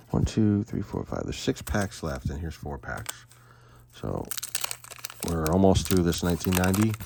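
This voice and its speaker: Noticeable background noise sits behind a man speaking with a very deep, low pitch. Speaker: card collecting youtuber. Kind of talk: casual box opening commentary. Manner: loud.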